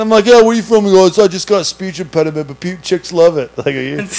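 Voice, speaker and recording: The speech comes at a fairly quick pace, with a slight East Coast US accent and ordinary pitch variation. Noticeable background noise sits behind the voice. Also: man. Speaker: podcast host and restaurant server. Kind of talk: casual chat.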